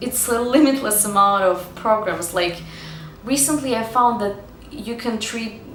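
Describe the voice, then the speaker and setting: With a Russian accent, a woman speaks at a fairly slow pace. Audible room echo and noticeable background noise are present. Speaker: acting student and vlogger. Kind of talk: vlog talking to camera. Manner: casual, filler-heavy.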